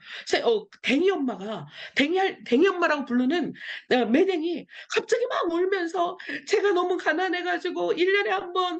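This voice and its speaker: At a moderate pace, a woman speaks with an extremely high pitch. Her pitch swings very widely. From Seoul, South Korea. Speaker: missionary. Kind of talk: interview testimony. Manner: animated.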